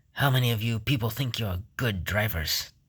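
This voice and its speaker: A man puts on a growling character voice. His pitch is medium. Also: moderate pace. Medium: read story. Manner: gruff, sardonic.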